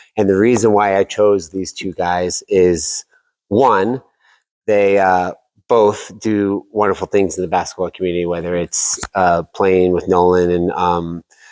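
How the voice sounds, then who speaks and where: A man with an American accent speaks at a fairly slow pace in a very deep, low pitch, his intonation fairly even against a quiet background. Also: dry, close sound with no echo. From Oklahoma and Texas, then Colorado from eighth grade. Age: 40s. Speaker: podcast host and realtor being interviewed. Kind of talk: casual interview.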